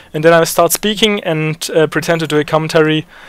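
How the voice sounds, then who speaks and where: Speaking at a very fast pace with a German accent, a man uses a high-pitched voice. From Germany. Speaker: gaming YouTuber. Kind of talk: tutorial. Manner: hesitant, many fillers.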